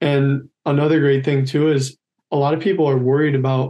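A man speaks in a dark, mellow tone. His intonation is monotone and flat. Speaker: college decathlete; podcast guest. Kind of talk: casual interview. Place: home room. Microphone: video call.

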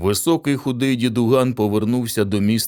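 Someone is doing plain reading aloud here.

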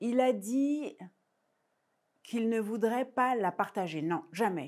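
A woman speaks with lively, bouncing intonation. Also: quiet background. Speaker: storyteller. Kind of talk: oral folk tale telling for young children, myth-like origin story. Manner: rhythmic, incantatory repetitions with deliberate hesitations ("il a dit, il a dit"); intimate, suspenseful delivery, softly building tension. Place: stage. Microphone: lapel.

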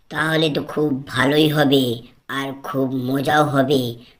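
In a cartoonish character voice, the speaker talks at a fairly slow pace with a raspy, low-to-middle pitch and monotone, flat intonation. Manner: naive, excitable.

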